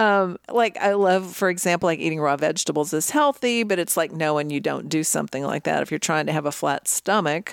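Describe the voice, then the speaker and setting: A woman with an ordinary speaking voice, fairly low in pitch with ordinary pitch variation, at a fairly quick pace, on a very clean recording with a silent background and a dry, close sound without echo. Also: hardly any pauses. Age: 60s. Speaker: fitness podcast co-host and personal trainer. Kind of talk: casual chat.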